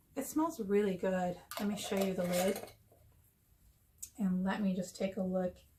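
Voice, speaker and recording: A woman is talking. There is some breathiness in her voice. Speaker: YouTube haul vlogger. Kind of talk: casual show-and-tell haul video. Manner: chatty.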